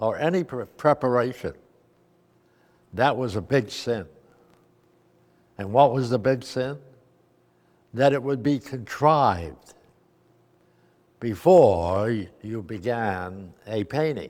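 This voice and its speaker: A man speaks at a very slow pace with long, frequent pauses. His pitch is medium and his intonation lively. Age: 80s+. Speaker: abstract expressionist painter. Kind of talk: interview answer.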